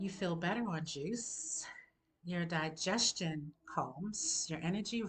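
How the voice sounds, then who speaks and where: Somewhat breathy, a woman speaks very slowly in a fairly low pitch. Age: 60s. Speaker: holistic health coach. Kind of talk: health advice monologue. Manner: conversational.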